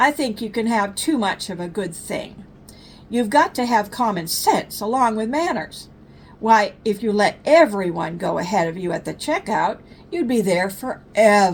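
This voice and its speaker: A woman puts on a rumbling character voice at a medium pitch. She speaks at a moderate pace. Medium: read story. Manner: grumbling.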